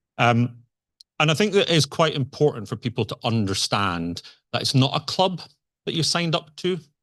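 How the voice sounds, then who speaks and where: A man with a Scottish accent at a moderate pace, very wide pitch swings, quiet background. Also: fairly high pitch for a man. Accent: Scottish, noticeable. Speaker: conference speaker, software engineer. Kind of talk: conference talk. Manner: conversational, hesitant with fillers.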